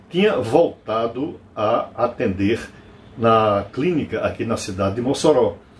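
A man's very slow speech with very wide pitch swings, over noticeable background noise. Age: 70s. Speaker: doctor and commentator. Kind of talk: radio commentary.

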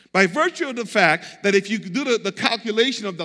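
A man speaks in a raised, projected voice, his tone animated, bright and sharp. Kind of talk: sermon. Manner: animated, call-and-response preacher urging the congregation to say amen; emphatic, repetitive, conversational.

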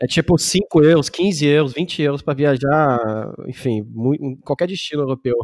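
A man with a fairly high pitch speaks at a fairly slow pace, with hardly any pauses and ordinary pitch variation. It is an ordinary speaking voice. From Germany, Munich. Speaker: podcast host, German teacher. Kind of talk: casual interview.

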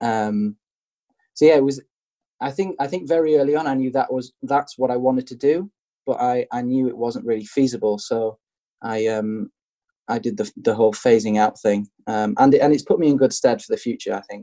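In a dry, close sound with no echo, a man with a dark, mellow, medium-pitched voice talks at a fairly quick pace with ordinary pitch variation. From England. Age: 20s. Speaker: graphic designer. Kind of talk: casual interview chat. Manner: hesitant, repeats words.

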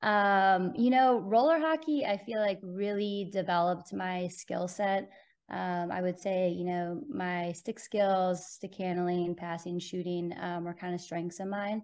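Speaking at a fairly slow pace, the voice comes with a Californian accent. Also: woman. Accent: Californian American. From Southern California (Bonita, near San Diego). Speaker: college ice hockey coach. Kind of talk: interview.

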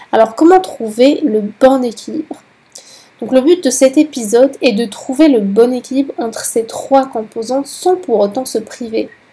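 A woman talks at a fairly slow pace in a high pitch. Noticeable background noise sits behind her. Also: ordinary pitch variation. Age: 20s. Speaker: podcast host. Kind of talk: solo educational monologue.

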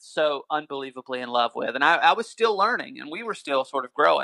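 An animated, bright and sharp man's voice in a Southern US accent, fairly quick, with very wide pitch swings and a dry, close sound with no echo. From North Carolina. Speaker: musician. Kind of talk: casual chat.

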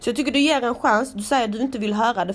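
A woman's animated voice. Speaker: podcast host. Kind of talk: casual monologue.

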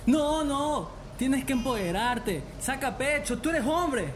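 In a put-on character voice, a man talks slowly at an extremely high pitch with lively intonation, and room echo is audible.

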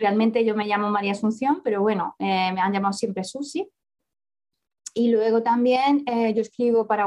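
In a normal speaking voice, a woman talks at a moderate pace, her fairly high pitch showing ordinary variation. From Spain, Córdoba (Andalusia), born in Barcelona. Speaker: author and economist. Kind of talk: interview.

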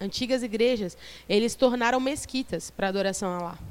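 A woman speaks at a moderate pace with a fairly high pitch and ordinary variation. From Brazil, São Vicente (São Paulo coast). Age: 30s. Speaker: missionary preacher. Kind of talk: sermon. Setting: church youth service with audience.

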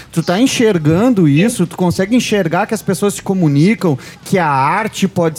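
Here a man speaks with lively intonation. His pitch is high. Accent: southern Brazilian. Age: 40s. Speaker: radio show host. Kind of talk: casual chat. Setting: studio.

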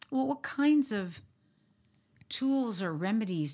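The recording is very clean, with a silent background. A woman of medium pitch speaks at a fairly slow pace with very wide pitch swings. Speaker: podcast host. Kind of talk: casual chat.

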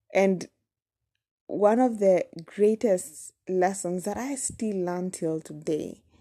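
Talking at a very slow pace with a Kenyan accent, a woman at medium pitch has a dark, mellow tone and ordinary pitch variation in a dry, close sound with no echo. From Kenya, Nairobi. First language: Kamba. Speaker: podcaster. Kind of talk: personal storytelling monologue. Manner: casual, hesitant with fillers.

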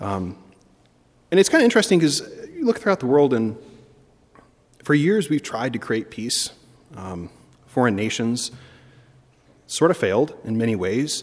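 A man with an American accent speaks at a moderate pace and medium pitch, his voice swinging very widely in pitch, with long, frequent pauses. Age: 30s. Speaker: priest. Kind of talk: sermon. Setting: church chapel. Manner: frequent filler ums.

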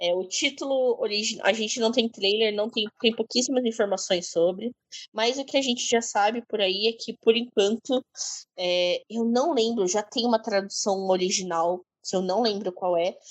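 A woman's fairly high voice, a normal speaking voice with ordinary pitch variation at a moderate pace, dry and close with no echo. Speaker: podcast co-host. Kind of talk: casual chat.

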